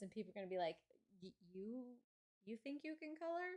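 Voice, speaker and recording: A sing-song woman's voice with very wide pitch swings. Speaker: coloring YouTuber. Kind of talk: live stream casual chat while coloring. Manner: sing-songy; halting, self-repeating.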